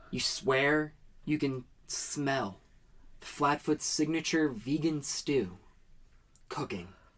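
Very slow speech with vocal fry, long, frequent pauses and lively intonation. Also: woman, very deep, low pitch for a woman. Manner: slow, soft and lulling, painting scenes in calm detail.

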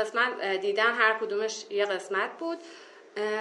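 Audible room echo surrounds a woman with a fairly high pitch and a bright, sharp tone speaking at a fairly quick pace. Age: 20s. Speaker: minimalism practitioner, tourism graduate. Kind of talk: casual interview chat.

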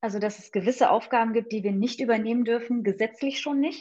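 A woman's fairly high-pitched voice with ordinary pitch variation. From Hesse, village near Fulda. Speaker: pediatric nurse. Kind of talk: interview. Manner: hesitant, many filler sounds.

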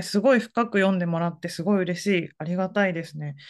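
With a quiet background, this woman's voice sits at a medium pitch. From Fukuoka, Japan. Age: 40s. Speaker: essayist. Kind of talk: casual interview.

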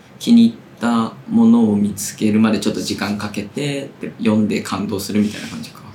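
A man at a fairly quick pace, with big swings in loudness and audible room echo. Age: 30s. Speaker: literary magazine editor and podcast host. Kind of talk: casual chat.

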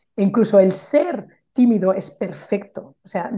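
There is a quiet background behind a woman whose voice is somewhat breathy. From Spain, Barcelona. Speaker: Spanish teacher and mentor. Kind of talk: casual interview chat. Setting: call.

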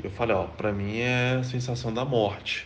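A man's fairly even intonation comes through audible room echo and noticeable background noise. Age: 30s. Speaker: software developer. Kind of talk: testimony.

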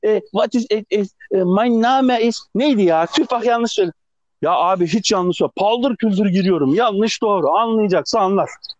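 A man with a high-pitched voice and ordinary pitch variation, recorded dry and close with no echo. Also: moderate pace, very even loudness. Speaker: podcast co-host, TV worker. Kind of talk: casual chat. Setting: phone call. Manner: animated. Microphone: phone line, rough sound.

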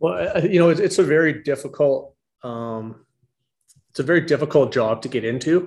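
At a moderate pace, a man speaks in a plain, everyday voice, fairly high in pitch, with lively intonation. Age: 50s. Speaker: wildfire management specialist. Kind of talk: interview.

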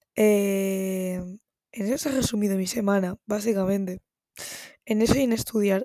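A woman speaks at a medium pitch and a moderate pace in a dark, mellow tone. The sound is dry and close with no echo. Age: 19. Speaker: podcaster. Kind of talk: casual monologue. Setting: home recording at night. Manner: animated.

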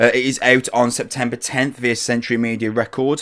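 A man with an English accent. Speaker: podcast host. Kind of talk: casual chat. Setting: video call.

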